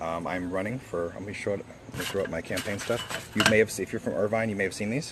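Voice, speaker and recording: Amid noticeable background noise, a man with a fairly low pitch talks very fast with fairly even intonation. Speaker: school board candidate. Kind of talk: live stream Q&A. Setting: live video stream. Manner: halting, many fillers.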